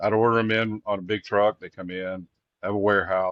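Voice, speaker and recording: A fairly low-pitched man with a Texas accent over a quiet background. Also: dry, close sound with no echo. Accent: Texas Southern. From Texas Gulf Coast. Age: 60s. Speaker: singer-songwriter. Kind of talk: casual interview. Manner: halting, many fillers.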